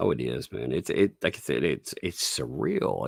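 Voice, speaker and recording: A man with a slight Southern US accent talks at a fairly slow pace with vocal fry. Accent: mild Southern US. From Tennessee. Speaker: YouTuber. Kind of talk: casual chat.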